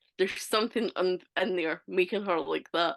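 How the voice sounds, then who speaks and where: A woman talks with a strong Scottish accent. Her pace is moderate. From Scotland. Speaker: author. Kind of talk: casual chat.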